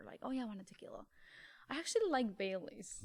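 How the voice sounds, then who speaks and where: In a Mexican accent, a woman talks at a very fast pace. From Mexico. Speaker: actor. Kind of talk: casual chat.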